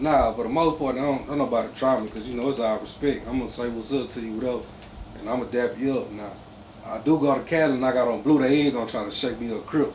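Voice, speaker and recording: Talking at a very fast pace, a man with a Mississippi accent keeps his intonation fairly even. Room echo and noticeable background noise are audible. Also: medium pitch for a man. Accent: Mississippi country. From Mississippi Gulf Coast, US South. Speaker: clothing brand founder. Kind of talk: casual interview.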